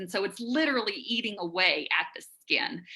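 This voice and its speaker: Her tone is bright and sharp. The woman speaks at a moderate pace. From Alabama. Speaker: bat biologist. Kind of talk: live science Q&A answers. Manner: conversational, hesitant fillers.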